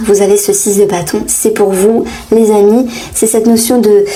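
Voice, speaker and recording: A woman's fairly high voice with ordinary pitch variation, noticeable background noise and audible room echo. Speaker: tarot reader. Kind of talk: tarot reading. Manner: hesitant, many fillers.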